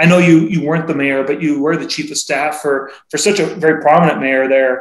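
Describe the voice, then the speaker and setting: An unremarkable speaking voice belongs to this man with an American accent. His pitch is fairly high, with ordinary pitch variation. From Seattle. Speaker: podcast co-host. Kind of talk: casual interview chat.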